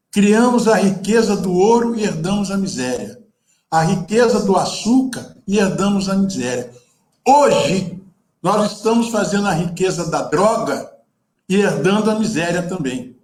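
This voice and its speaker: A man's high-pitched voice with audible room echo. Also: ordinary pitch variation, fairly slow pace. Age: 70s. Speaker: photographer and activist. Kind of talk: panel talk. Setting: video call. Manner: animated.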